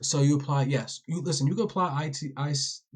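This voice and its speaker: A man speaks at a fairly quick pace with a fairly high pitch. His voice is somewhat breathy, with ordinary pitch variation. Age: 20s. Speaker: day trading educator. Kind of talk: live-stream trading tutorial. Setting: live TikTok stream. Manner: casual, slangy.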